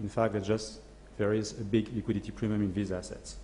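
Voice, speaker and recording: Somewhat breathy air runs through this voice. Its tone is dark and mellow. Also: man. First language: French. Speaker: asset management CEO. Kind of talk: conference presentation. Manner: hesitant, many fillers.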